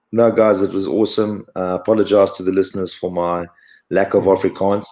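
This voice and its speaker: In a very clean recording with a silent background, a man with a fairly low pitch speaks at a moderate pace in a monotone, flat intonation. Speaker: former rugby player. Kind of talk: podcast interview. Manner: hesitant, many fillers.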